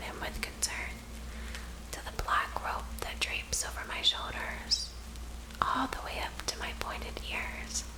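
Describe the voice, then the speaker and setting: A woman whispers at a very slow pace against noticeable background noise. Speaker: ASMR story narrator / author. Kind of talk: whispered ASMR story reading. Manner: whispered, soft.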